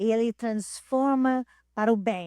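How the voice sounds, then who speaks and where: On a very clean recording with a silent background, a woman with a fairly high voice speaks very slowly. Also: dry, close sound with no echo. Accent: non-native. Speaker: pastor. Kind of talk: testimony. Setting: church. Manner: halting.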